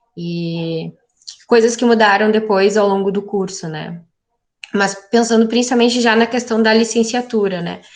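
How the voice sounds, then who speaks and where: A woman speaks in an ordinary speaking voice, her pitch fairly high. She talks at a fairly slow pace with fairly even intonation. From southern Brazil, Porto Alegre area. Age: 20s. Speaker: geography teacher. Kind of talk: interview.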